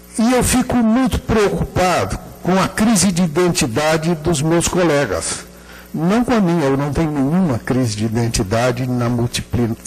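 Very wide pitch swings at a moderate pace, with very even loudness. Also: man. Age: old. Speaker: architecture professor. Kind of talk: lecture. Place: hall. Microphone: handheld.

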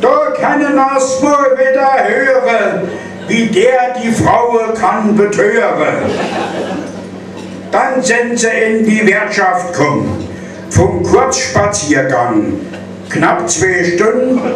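Speech comes at a very slow pace with long, frequent pauses and lively intonation. Audible room echo and noticeable background noise surround it. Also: man, extremely high pitch for a man. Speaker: carnival speaker. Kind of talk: carnival speech delivered in rhyme (Büttenrede). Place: hall.

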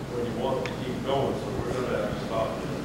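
A man speaks with audible room echo and loud background noise. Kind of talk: public talk, reminiscing. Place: hall. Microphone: camera far.

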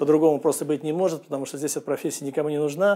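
At a very fast pace, a man with a fairly high pitch speaks with fairly even intonation over a quiet background. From Russia. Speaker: real estate agent; immigrant vlogger. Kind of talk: vlog monologue. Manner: hesitant, filler-heavy. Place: studio. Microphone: lapel.

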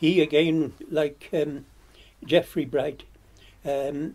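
Monotone and flat, the speaker goes at a very slow pace in a Welsh Marches accent. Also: man. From Radnorshire, Wales. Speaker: retired blacksmith's farrier and horseman, interviewee. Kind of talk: elder life story, reminiscing in an oral history interview. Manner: slow, halting, with frequent hesitations and fillers; detailed recall of names and events.

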